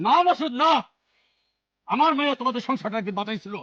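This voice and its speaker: A man's raised, projected put-on character voice at an extremely high pitch and a fairly quick pace. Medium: short film. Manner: emotional, accusatory.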